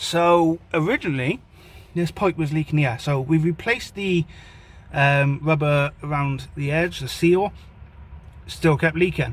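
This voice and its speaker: A man at a fairly high pitch, with fairly even intonation and a moderate pace. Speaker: car vlogger. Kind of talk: casual vlog talk. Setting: in a car.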